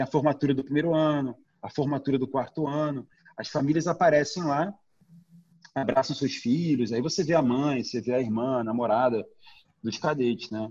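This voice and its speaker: Speaking at a moderate pace with long, frequent pauses, a man with a fairly high pitch shows ordinary pitch variation. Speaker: documentary director. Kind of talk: casual interview.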